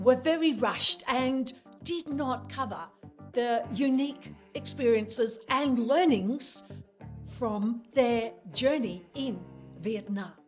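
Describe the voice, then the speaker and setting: Over music in the background, a woman talks very slowly in a high voice with ordinary pitch variation. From Australia. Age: 70s. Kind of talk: travel vlog narration.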